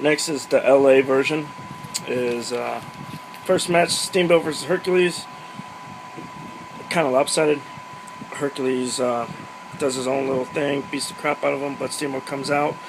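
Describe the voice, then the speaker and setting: At a moderate pace, a man talks with long, frequent pauses over noticeable background noise. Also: fairly high pitch for a man, ordinary pitch variation. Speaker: wrestling recap vlogger. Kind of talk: casual solo recap monologue.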